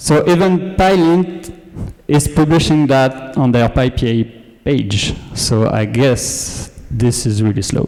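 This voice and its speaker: Speaking very slowly with a French accent, a man keeps a medium pitch and lively intonation. His loudness stays very even, with noticeable background noise behind him. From France. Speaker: data engineer, conference speaker. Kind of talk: conference talk. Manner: hesitant, many filler words.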